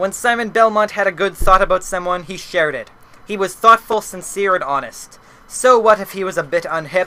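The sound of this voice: Words in an unforced reading voice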